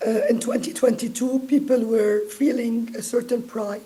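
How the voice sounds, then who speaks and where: Over noticeable background noise, a woman with a fairly high pitch and fairly even intonation speaks at a fairly slow pace. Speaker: diaspora advocacy group member. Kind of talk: panel discussion.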